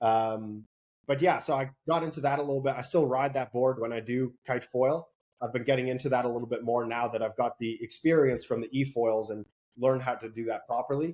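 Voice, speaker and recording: Speaking at a fairly quick pace with fairly even intonation, a man with an American accent uses a normal speaking voice at a medium pitch. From US Northeast and Netherlands. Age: 20s. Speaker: kiteboarding instructor and salesperson. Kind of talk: interview.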